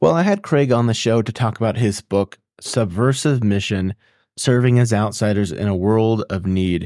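In a dry, close recording with no echo, a man with a normal speaking voice talks at a moderate pace with ordinary pitch variation. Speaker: podcast host. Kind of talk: interview conversation. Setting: video call with guest abroad.

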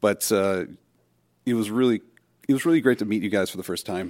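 This man has a fairly low pitch and ordinary pitch variation. The recording is very clean with a silent background, and the sound is dry and close with no echo. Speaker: fellow podcaster. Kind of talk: recorded voice message.

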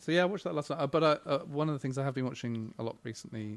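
A man with an English accent talks at a very fast pace with ordinary pitch variation. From England, Buckinghamshire/Oxfordshire border. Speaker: game studio creative director. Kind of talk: casual chat. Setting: live recording in a bookstore.

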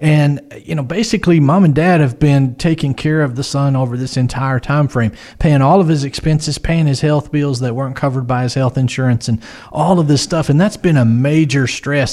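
Using a plain, everyday voice, a man with an American accent talks at a fairly quick pace. His pitch is fairly high, with ordinary pitch variation. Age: 40s. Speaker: financial advisor. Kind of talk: casual chat.

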